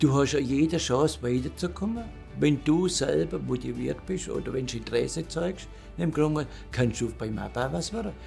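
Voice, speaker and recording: A man speaks at a moderate pace while music plays behind him. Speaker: retired works council chairman, master machinist. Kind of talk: interview answer. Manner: blunt, outspoken.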